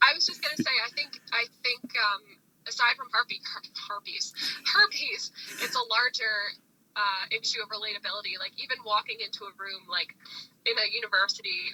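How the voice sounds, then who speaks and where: A woman's fairly high voice at a fairly quick pace, with ordinary pitch variation, long and frequent pauses, big swings in loudness, and a dry, close sound with no echo. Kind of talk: casual podcast conversation.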